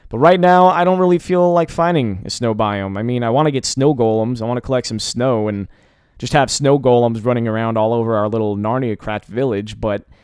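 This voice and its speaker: The man's intonation is lively. He speaks at a fairly quick pace. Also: medium pitch for a man. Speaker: gaming commentator. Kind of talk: let's play commentary. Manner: fast; casual.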